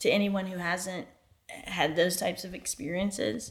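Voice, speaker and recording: With an American accent, a woman uses a normal speaking voice at medium pitch, speaking at a fairly slow pace with ordinary pitch variation. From US South (Alabama). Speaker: co-interviewer. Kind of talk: casual interview.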